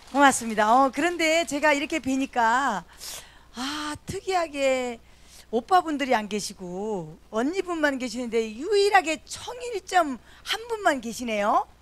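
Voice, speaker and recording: This woman's voice sits high in pitch. She talks fairly slowly. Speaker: event emcee. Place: church. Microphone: handheld.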